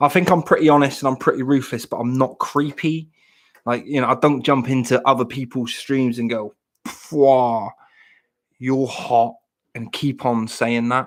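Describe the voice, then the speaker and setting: At a moderate pace and medium pitch, a man with a Devon accent speaks with fairly even intonation. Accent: Plymouth (Janner) Devon. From Plymouth, Devon, southwest England. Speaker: live streamer. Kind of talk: casual live stream chat.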